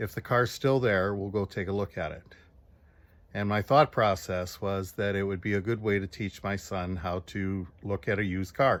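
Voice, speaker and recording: At a moderate pace and with fairly even intonation, a man speaks at a fairly low pitch in a very clean recording with a silent background. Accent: Chicago. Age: 60s. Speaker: retired steelworker, car owner. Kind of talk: personal video appeal, storytelling. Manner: halting, with fillers.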